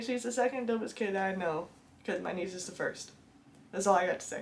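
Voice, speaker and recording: Music plays in the background. The pitch varies an ordinary amount. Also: woman. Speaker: book reviewer. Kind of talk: casual talk to camera. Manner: chatty, enthusiastic.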